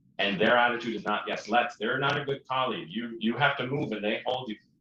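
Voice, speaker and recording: Lively intonation from a man at a medium pitch. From Prince Edward Island, Canada. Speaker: opera singer. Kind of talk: interview.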